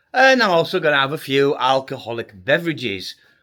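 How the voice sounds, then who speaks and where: A man with an English accent speaks at a moderate pace in a bright, sharp tone, his pitch swinging very widely. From UK. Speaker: travel vlogger and hypnotist. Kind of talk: travel vlog.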